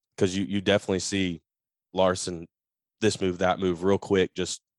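A man's very deep, low voice at a moderate pace, dry and close with no echo. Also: quiet background. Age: 30s. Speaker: racing podcast co-host. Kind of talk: casual chat. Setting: video call.

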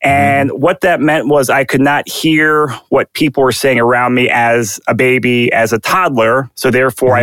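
With a plain, everyday voice, a man speaks in fairly even intonation. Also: hardly any pauses. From Virginia, DC suburbs. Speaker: real estate agent and investor. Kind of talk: interview, casual conversational.

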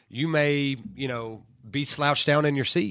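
On a very clean recording with a silent background, a man with a Southern US accent speaks at a fairly high pitch with ordinary pitch variation. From US South, Tennessee. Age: 30s. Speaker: college football head coach. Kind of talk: interview.

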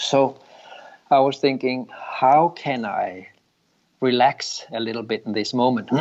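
A man with a Danish accent speaks at a fairly slow pace in a medium pitch, with fairly even intonation and long, frequent pauses. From Denmark. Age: 50s. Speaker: yoga teacher and former dancer.

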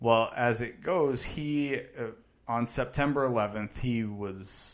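An unremarkable speaking voice with ordinary pitch variation comes through over a quiet background. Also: man. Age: 30s. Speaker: podcast co-host. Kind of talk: casual chat. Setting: studio.

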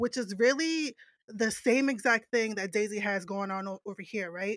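A woman talks at a moderate pace in a normal speaking voice, fairly high in pitch with ordinary pitch variation. The sound is dry and close with no echo, on a very clean recording with a silent background. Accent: American. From New Jersey. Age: 30s. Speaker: podcaster. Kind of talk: casual chat.

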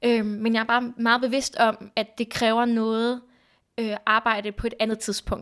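A woman's fairly high voice in a very clean recording with a silent background. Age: 20s. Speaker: podcast guest sharing personal story. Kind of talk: casual conversation. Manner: hesitant, many fillers.

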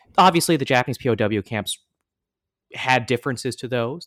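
On a very clean recording with a silent background and a dry, close sound with no echo, a man has an unremarkable speaking voice with medium pitch and ordinary pitch variation. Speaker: podcast host. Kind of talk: scripted intro and interview.

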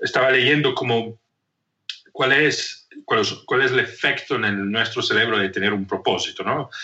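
The speaker is male, in an Italian accent. He keeps a moderate pace. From northern Italy, Trento. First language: Italian (speaking Spanish). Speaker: leadership coach and anthropologist. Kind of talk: interview conversation. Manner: halting, many repetitions and fillers.

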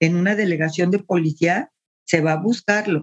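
A woman with a Mexican accent, medium in pitch, with ordinary pitch variation and a dry, close sound with no echo. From Mexico City. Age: 70s. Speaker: retired teacher and social worker. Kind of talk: interview, personal life story.

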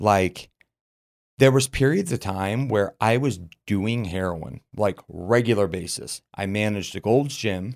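On a very clean recording with a silent background, a man with an American accent talks at a fairly slow pace in a normal speaking voice, fairly low in pitch with ordinary pitch variation. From Utah (Murray). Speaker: supplement business owner, former addict. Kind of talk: personal testimony in casual interview. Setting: studio.

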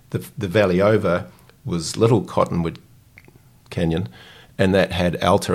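A man with a New Zealand accent, very deep and low in pitch, at a moderate pace with fairly even intonation. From New Zealand, Dunedin. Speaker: founder and CEO of a financial education company. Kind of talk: interview conversation. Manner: hesitant with fillers.

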